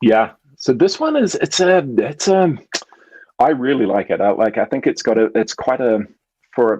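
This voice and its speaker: A man with a New Zealand accent, very even loudness and long, frequent pauses. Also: moderate pace. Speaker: brewery co-founder. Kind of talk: casual chat.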